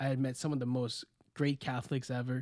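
This man talks at a fairly quick pace with an American accent. His medium-pitched voice has a dark, mellow tone and monotone, flat intonation. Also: very clean recording, silent background. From Florida. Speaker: podcast host. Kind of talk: casual chat.

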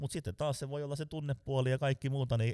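A man with a dark, mellow tone talks at a very fast pace. The recording is very clean, dry and close, with a silent background and no echo. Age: 40s. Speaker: sales trainer. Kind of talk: casual interview.

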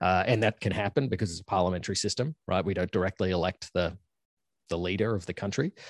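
Very fast and very deep, a man speaks with an Australian accent and ordinary pitch variation. The sound is dry and close with no echo over a quiet background. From Australia (Queensland). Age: 30s. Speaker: university professor. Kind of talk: casual interview chat.

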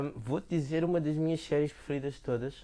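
Heard in a very clean recording with a silent background, a man speaks with a dark, mellow tone. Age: 30s. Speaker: podcast co-host. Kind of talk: casual chat. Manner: animated.

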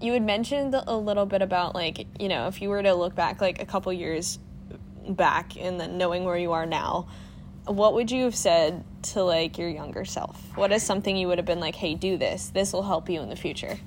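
This is a plain, everyday voice at a fairly quick pace. Pitch variation is ordinary. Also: woman, medium pitch for a woman. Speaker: podcast co-host. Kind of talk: casual chat. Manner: laughs often.

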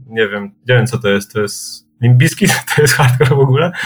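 A somewhat breathy male voice. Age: 30s. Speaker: punk band vocalist. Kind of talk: casual chat.

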